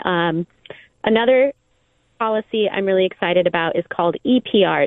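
A woman with a Californian accent at a moderate pace, with ordinary pitch variation. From Southern California. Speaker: environmental nonprofit director. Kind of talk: radio interview.

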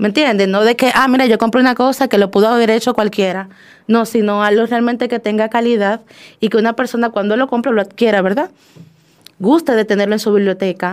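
With a normal speaking voice, a woman talks at a fairly quick pace, her loudness very even and her intonation fairly even, against a quiet background. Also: fairly high pitch for a woman. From Dominican Republic. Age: young. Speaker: poet. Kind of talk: interview. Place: studio.

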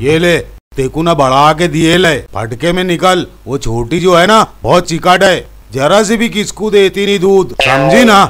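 Over light background noise, a man with a high pitch speaks at a fairly slow pace. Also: lively intonation. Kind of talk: acted dialogue. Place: farm.

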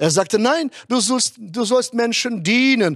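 In a quiet background, a man speaks at a fairly slow pace. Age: 60s. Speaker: pastor. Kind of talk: sermon. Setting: online conference. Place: stage. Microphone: handheld.

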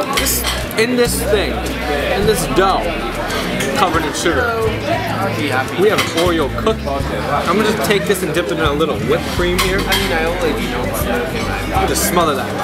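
Loud music plays in the background as a man talks at a fairly slow pace, leaving long, frequent pauses. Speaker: restaurant review host. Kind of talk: casual food review commentary. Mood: playful, enthusiastic. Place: bar. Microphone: camera far.

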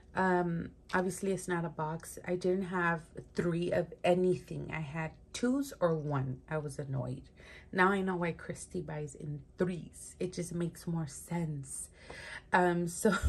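A somewhat breathy woman with a fairly low pitch talks at a fairly slow pace. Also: ordinary pitch variation. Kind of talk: casual show-and-tell chat. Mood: cheerful, amused. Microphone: phone near.

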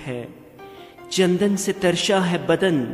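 A man's voice with music in the background. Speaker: radio presenter and poetry reciter. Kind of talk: romantic poetry reading.

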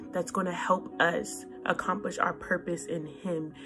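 A woman at a fairly low pitch and fairly slow pace, with clear music in the background. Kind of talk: encouraging devotional vlog talk. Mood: earnest, encouraging. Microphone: phone near.

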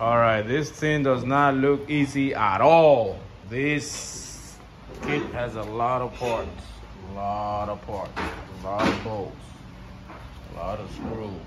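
Amid loud background noise, a man speaks at a very slow pace with ordinary pitch variation and long, frequent pauses. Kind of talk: tutorial. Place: garage. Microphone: phone near.

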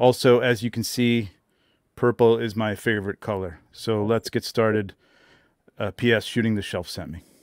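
Against a quiet background, a man speaks at a moderate pace with fairly even intonation, the sound dry with no echo. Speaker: photographer; podcast guest. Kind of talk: casual livestream chat. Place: home room. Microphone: studio mic.

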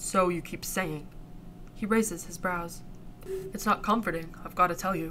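Pitch varies in an ordinary way as the speaker reads in a natural reading voice.

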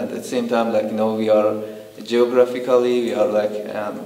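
With an Iranian accent, a man talks at a fairly quick pace in a monotone, flat intonation, with audible room echo. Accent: Iranian (Persian) accent in English. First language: Persian. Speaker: documentary interviewee. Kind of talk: interview answer. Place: home room.

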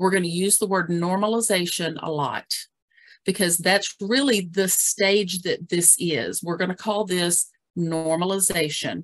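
With a fairly low pitch and ordinary pitch variation, a woman speaks at a fairly slow pace. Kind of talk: webinar presentation. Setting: video call. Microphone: video call.

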